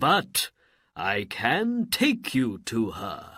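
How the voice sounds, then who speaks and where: On a very clean recording with a silent background, a man performs a put-on character voice. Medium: read story. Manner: formal, obedient.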